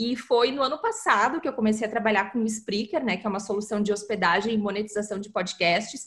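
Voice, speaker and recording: A woman with a normal speaking voice talks at a fairly quick pace and fairly high pitch, with ordinary pitch variation and hardly any pauses. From southern Brazil, Porto Alegre. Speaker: content marketing specialist. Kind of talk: interview. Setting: remote call across continents.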